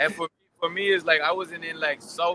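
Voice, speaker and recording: Very fast pace from a man. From Bermuda, raised partly in Dominican Republic. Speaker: interviewee. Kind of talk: interview. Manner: casual, animated storytelling.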